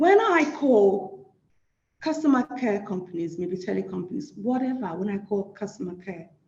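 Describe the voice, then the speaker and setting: Here a woman talks with an African accent at a moderate pace. Her medium-pitched voice has lively intonation. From Nigeria. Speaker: social work academic. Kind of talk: lecture.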